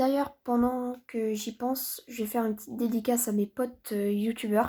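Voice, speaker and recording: Soft-spoken, a woman uses a high pitch with a dark, mellow tone, monotone, flat intonation and a moderate pace. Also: very clean recording, silent background. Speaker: gaming youtuber. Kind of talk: gameplay commentary.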